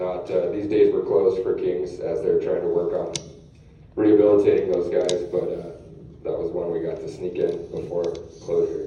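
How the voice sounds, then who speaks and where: A man speaks at a moderate pace. The room echo is audible and the background noise noticeable. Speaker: fishing guide. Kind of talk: lecture. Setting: stage with audience. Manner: loud.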